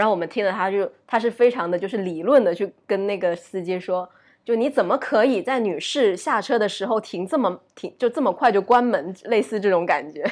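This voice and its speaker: At a fairly quick pace and with hardly any pauses, a woman of medium pitch speaks with ordinary pitch variation in a very clean recording with a silent background. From Uzbekistan. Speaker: podcast guest, former student abroad. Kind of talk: casual chat. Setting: recording at home, lying down. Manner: low-energy.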